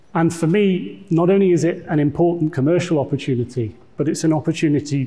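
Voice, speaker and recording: A man's somewhat breathy voice with a dark, mellow tone, ordinary pitch variation and a fairly quick pace. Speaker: tech executive giving conference talk. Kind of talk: conference presentation.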